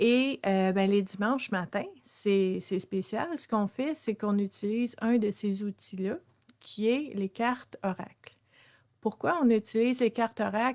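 This voice has a Quebec accent and a fairly slow pace. The background is quiet. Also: woman, fairly high pitch for a woman, ordinary pitch variation. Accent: Québécois French. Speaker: social worker and wellness livestream host; personal growth coach. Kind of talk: live-streamed self-development talk; casual live talk. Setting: live stream with viewer comments. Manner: hesitant, many fillers. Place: home room. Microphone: webcam.

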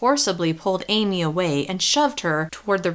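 The recording is plain reading aloud.

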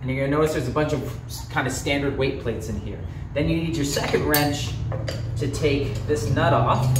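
Ordinary pitch variation at a fairly quick pace, with noticeable background noise behind. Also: man. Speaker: fitness coach. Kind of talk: tutorial. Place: gym.

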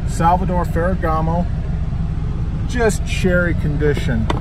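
Loud background noise fills the clip. The pace is fairly slow. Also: dry sound with no echo. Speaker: reseller vlogger. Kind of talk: casual vlog chat. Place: car. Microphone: phone near.

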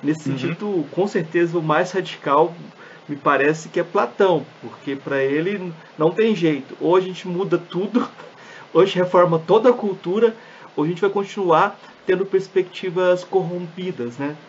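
A man with a high pitch talks at a moderate pace while noticeable background noise fills the recording. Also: ordinary pitch variation. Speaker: podcast host. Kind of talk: interview conversation.

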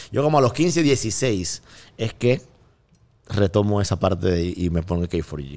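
With a Panamanian accent, the speaker talks at a fairly slow pace, the pitch swinging very widely. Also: man, fairly low pitch for a man. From Panama, Colón. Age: 30s. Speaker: music producer; guest. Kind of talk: casual chat. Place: studio. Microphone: studio mic.

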